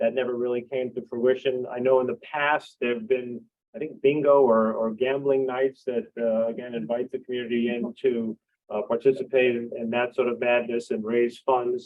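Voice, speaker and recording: At a moderate pace, a normal speaking voice talks with fairly even intonation. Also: man, medium pitch for a man. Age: 60s. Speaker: library board candidate, retired professor. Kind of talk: candidates forum answers. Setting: public forum at library with audience.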